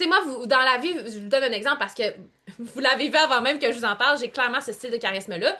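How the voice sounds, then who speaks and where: A woman with a Quebec accent speaks in an animated, raised and projected voice, her high pitch carrying a bright, sharp tone and lively intonation. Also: quiet background. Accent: Québécois French. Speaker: online coach. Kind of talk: live group coaching call. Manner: varied pitch, expressive.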